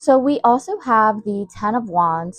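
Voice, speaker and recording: Here a woman speaks at medium pitch with ordinary pitch variation. The sound is dry and close with no echo. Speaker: tarot reader. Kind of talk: tarot reading. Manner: loud; animated.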